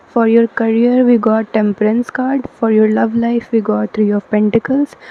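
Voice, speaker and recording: Noticeable background noise sits behind a woman with a fairly high-pitched voice. She talks at a moderate pace, monotone and flat, with very even loudness. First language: not English. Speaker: tarot reader. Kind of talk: tarot card reading to camera. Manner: hesitant, many fillers.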